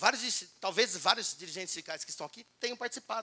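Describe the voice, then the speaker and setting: Animated and bright with a sharp tone, a man speaks fairly quickly at an extremely high pitch. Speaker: labor law speaker at union event. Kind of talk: lecture. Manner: fast.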